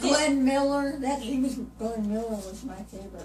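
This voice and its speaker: A woman speaks at a moderate pace. Noticeable noise runs in the background. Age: 80s+. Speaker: great-grandmother. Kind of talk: interview answer. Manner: casual, reminiscing.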